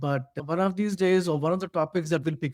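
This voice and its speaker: Recorded very cleanly with a silent background and a dry, close sound with no echo, a man with an Indian accent speaks with fairly even intonation. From India (Bhilai). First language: Hindi. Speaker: podcast co-host. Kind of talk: casual discussion. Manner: halting, many fillers.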